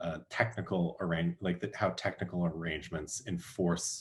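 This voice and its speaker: With vocal fry and ordinary pitch variation, a man speaks in a very deep, low pitch. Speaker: academic speaker. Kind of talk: academic Q&A discussion. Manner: halting with many fillers.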